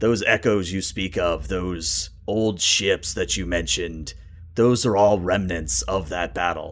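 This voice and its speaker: A man uses a put-on character voice that is raspy and very deep, with a low pitch. He talks at a fairly slow pace. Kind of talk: solemn fantasy roleplay. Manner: grave, formal, storytelling.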